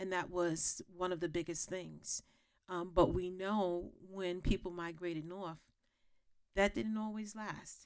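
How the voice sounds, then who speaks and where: A woman speaks in a fairly low pitch with an American accent. Her pace is fairly slow. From New York, Gullah family roots. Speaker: historian. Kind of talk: panel discussion. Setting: stage with audience. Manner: halting, many fillers.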